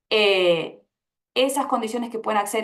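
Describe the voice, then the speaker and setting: In an Argentine accent, a woman speaks at a moderate pace and a medium pitch, with lively intonation. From Argentina. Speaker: panelist, labor researcher. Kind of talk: panel discussion. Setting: public event panel.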